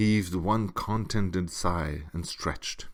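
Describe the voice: Simple, plain reading aloud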